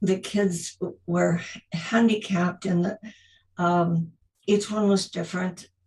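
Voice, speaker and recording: A woman's medium-pitched, somewhat breathy voice at a very slow pace, with monotone, flat intonation and long, frequent pauses. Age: 80s+. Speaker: retired teacher. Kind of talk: interview. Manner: halting.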